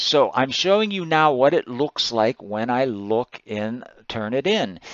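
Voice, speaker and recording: A man with an unremarkable speaking voice talks at a fairly slow pace and a medium pitch. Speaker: college writing instructor. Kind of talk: screencast feedback tutorial.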